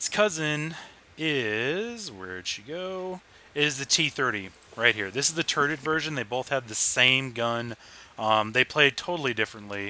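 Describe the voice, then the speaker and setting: The voice is loud, with a bright, sharp tone and lively intonation at a moderate pace. The recording is very clean, with a silent background. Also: man, medium pitch for a man. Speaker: video game reviewer. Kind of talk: gameplay commentary. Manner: animated.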